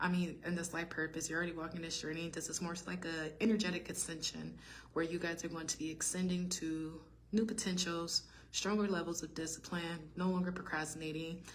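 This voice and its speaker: A woman speaks fairly quickly in a fairly low pitch with monotone, flat intonation. Audible room echo surrounds her voice. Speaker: tarot reader. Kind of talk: tarot reading monologue. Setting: study hall. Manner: fast; halting.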